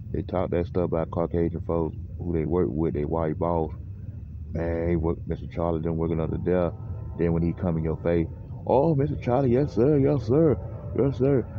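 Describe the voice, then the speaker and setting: A man speaks with a Southern US accent at a moderate pace. His voice is very deep and low, with lively intonation. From US South. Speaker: radio show host. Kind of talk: casual monologue.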